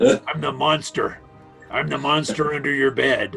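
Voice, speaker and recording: A man uses a put-on character voice at a moderate pace, with faint music in the background. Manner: spooky, menacing.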